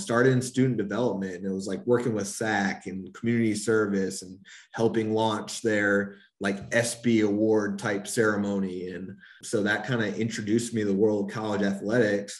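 A man with a fairly low voice speaks in a flat monotone at a moderate pace, with audible room echo. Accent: American. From North Carolina. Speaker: college athletics compliance officer. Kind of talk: casual interview.

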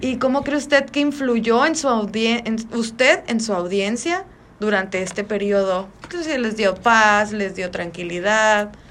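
A woman's fairly high voice, a plain, everyday voice, fairly slow in pace with lively intonation. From Magdalena de Kino, Sonora, Mexico. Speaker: student interviewer. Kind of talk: interview.

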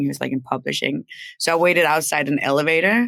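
This woman has a very deep, low voice, with a Danish accent and ordinary pitch variation. She talks at a fairly quick pace on a very clean recording with a silent background. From Denmark. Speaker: record label executive. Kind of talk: casual interview. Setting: live stream.

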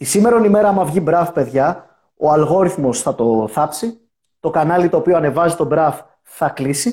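At a moderate pace, a man with a dark, mellow tone and fairly high pitch talks with lively intonation and very even loudness. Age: 30s. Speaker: YouTuber. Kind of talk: casual chat. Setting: video call.

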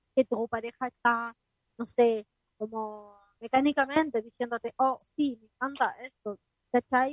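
In a Chilean accent, a woman speaks at a fairly slow pace with a high pitch and ordinary pitch variation. Her voice sounds dry and close, with no echo. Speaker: radio podcast co-host. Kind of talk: casual chat. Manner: talkative.

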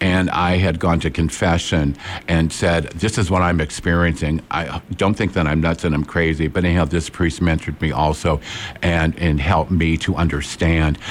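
A man's very deep, low voice at a very even loudness. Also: moderate pace. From Peoria, Illinois. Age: 60s. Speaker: psychic medium and forensic psychologist. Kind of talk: interview. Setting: studio. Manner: animated.

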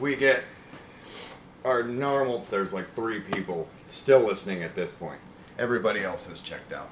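A man with a medium pitch and ordinary pitch variation speaks at a moderate pace with long, frequent pauses and big swings in loudness. Noticeable background noise is present. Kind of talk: casual comedy podcast banter. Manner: rambling, sarcastic, sleep-deprived and giddy.

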